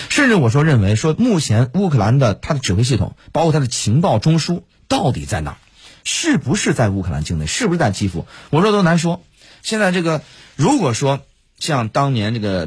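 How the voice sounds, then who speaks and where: On a very clean recording with a silent background, a man speaks at a fairly quick pace in a fairly high, somewhat breathy voice with very wide pitch swings. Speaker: radio host and military commentator. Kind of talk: casual analytical discussion. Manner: hesitant, many fillers.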